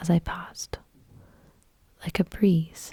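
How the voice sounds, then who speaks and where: A woman talks at a very slow pace. Her pitch is fairly low and her intonation fairly even. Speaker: ASMR reader. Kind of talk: ASMR story reading. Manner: soft, slow, whispery.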